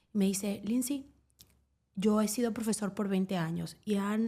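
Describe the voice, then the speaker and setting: Her somewhat breathy voice has a dark, mellow tone, and this woman speaks at a medium pitch. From Venezuela. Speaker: sports journalist. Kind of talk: casual interview chat.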